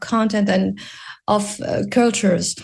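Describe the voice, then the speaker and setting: A woman at medium pitch sounds somewhat breathy, her intonation monotone and flat. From Morocco. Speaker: animation producer and entrepreneur. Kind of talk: radio interview. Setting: video call.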